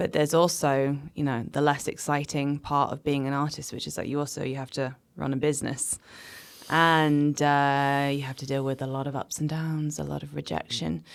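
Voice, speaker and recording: Speaking with a Manchester accent at a moderate pace, a woman has a very deep, low pitch and monotone, flat intonation on a very clean recording with a silent background. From Manchester, England. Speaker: cabaret artist and poet. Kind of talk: interview conversation.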